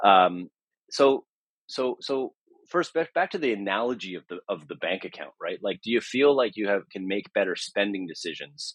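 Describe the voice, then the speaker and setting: A man with a Canadian accent speaks over a quiet background. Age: 40s. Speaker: charity platform founder. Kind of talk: interview. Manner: halting, many repetitions and fillers.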